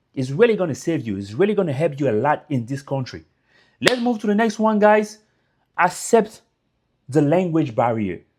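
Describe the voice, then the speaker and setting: A man with a French accent at a moderate pace, very wide pitch swings, and long, frequent pauses, on a very clean recording with a silent background. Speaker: YouTuber giving immigrant advice. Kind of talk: casual motivational talk to camera. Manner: informal, repetitive fillers.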